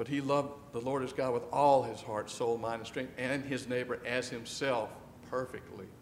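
A man speaks at a medium pitch and a moderate pace, with flat, monotone intonation. The room gives his voice an audible echo. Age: 60s. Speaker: pastor. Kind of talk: sermon. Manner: conversational, with frequent fillers.

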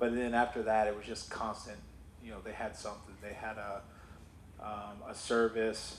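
A man with a fairly low pitch talks in a monotone, flat intonation while his loudness swings widely. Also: moderate pace. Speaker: church member sharing testimony. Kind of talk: testimony. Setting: church.

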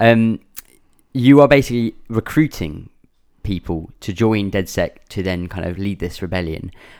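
In an English accent, a man with a fairly low pitch speaks at a moderate pace with lively intonation on a very clean recording with a silent background. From England. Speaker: gaming podcast host. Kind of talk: casual chat.

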